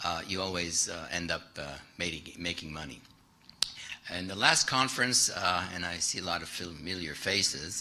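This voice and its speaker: A man speaks with a French accent. Audible room echo and noticeable background noise surround his voice. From France. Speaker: private investor, keynote speaker. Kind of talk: keynote presentation. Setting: stage with audience. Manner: halting, many fillers.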